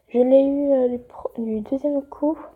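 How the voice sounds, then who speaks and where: A woman talks very slowly with fairly even intonation. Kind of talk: casual game tutorial talk. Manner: hesitant, many fillers.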